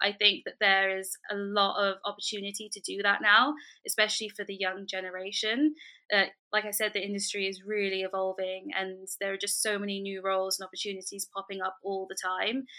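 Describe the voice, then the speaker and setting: A woman with a London accent speaks fairly quickly at a medium pitch in a bright, sharp tone. Her intonation is monotone and flat, on a very clean recording with a silent background. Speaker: fashion lecturer and entrepreneur. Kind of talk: interview.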